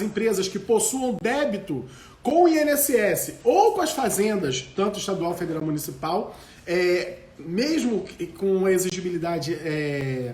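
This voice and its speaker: Amid noticeable background noise and audible room echo, a man speaks at a fairly slow pace and a high pitch with very wide pitch swings. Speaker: law professor. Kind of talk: live lecture.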